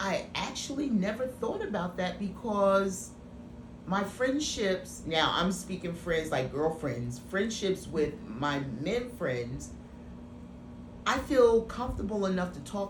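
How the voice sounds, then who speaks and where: A woman at medium pitch talks fairly slowly with very wide pitch swings, heard through audible room echo and noticeable background noise. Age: 50s. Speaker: actress and writer. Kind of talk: interview. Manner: halting.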